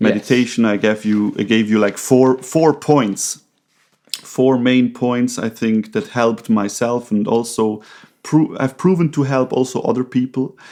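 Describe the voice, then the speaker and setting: The voice has a dark, mellow tone and a non-native accent. It moves at a fairly slow pace with ordinary pitch variation. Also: man, medium pitch for a man. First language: not English. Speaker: podcast co-host, recovery counselor. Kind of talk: casual conversation. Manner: halting, with many fillers.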